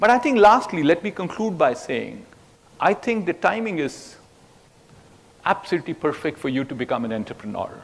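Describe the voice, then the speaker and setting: Long, frequent pauses break up a man's fairly quick pace. His high pitch moves in very wide swings. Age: 70s. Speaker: veteran tech CEO and conference speaker. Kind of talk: conference keynote speech.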